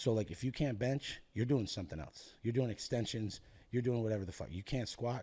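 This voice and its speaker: A man talks at a fairly quick pace in a somewhat breathy, dark, mellow tone. His pitch shows ordinary variation. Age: 30s. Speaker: powerlifting gym owner and coach. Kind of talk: casual chat. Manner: animated. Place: studio. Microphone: studio mic.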